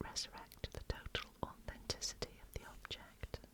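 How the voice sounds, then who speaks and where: A woman whispers at a fairly slow pace with a British accent. Noticeable background noise is present. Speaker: ASMR reader. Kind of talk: reading magazine article aloud. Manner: soft-spoken, whispered.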